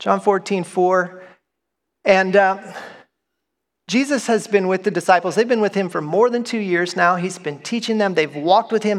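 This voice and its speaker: A man with a high pitch speaks at a moderate pace. He leaves long, frequent pauses. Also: ordinary pitch variation. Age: 40s. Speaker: pastor. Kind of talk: sermon. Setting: church.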